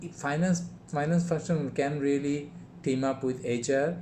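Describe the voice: Dark, mellow tone at a slow pace. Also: man.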